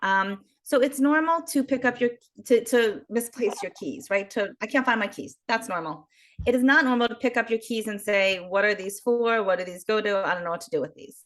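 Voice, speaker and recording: With an American accent and an ordinary speaking voice, a woman talks at a fairly quick pace and a fairly high pitch, her intonation lively and her loudness swinging widely. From US, Baltimore, Maryland. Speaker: geriatric social worker. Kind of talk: interview.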